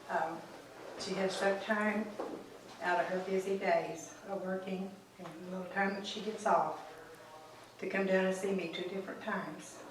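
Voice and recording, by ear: In a room with strong echo, a woman speaks at a moderate pace and medium pitch with fairly even intonation.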